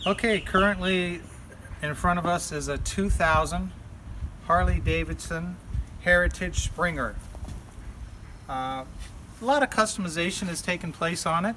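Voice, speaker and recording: Noticeable background noise sits behind a man with a high pitch and ordinary pitch variation. He keeps a moderate pace, with long, frequent pauses. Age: 60s. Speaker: pest control business owner and biker. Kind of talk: casual interview.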